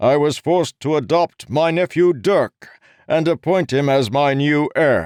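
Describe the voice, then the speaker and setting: A man uses a put-on character voice, pitched fairly high and delivered at a moderate pace with very even loudness. The sound is dry and close with no echo, against a quiet background. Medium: read story. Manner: loud, proclaiming.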